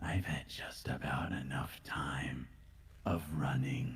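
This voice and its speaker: A man puts on a character voice, theatrical and menacing in tone, with very deep, low pitch, fairly even intonation and a fairly slow pace over light background noise. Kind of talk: villain monologue. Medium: machinima. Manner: theatrical, menacing.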